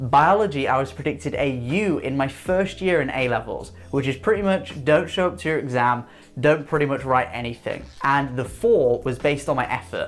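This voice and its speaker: With an English accent, a man with a fairly high pitch talks at a moderate pace, his intonation lively and hardly any pauses breaking his speech. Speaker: student advice youtuber. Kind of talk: vlog monologue.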